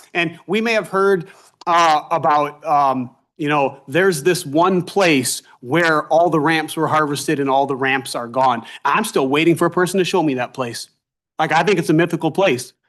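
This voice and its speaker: A man with an American accent speaks loudly in an animated tone, his pitch high for a man with ordinary variation, over a quiet background. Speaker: foraging instructor. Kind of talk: public testimony at a government task force meeting.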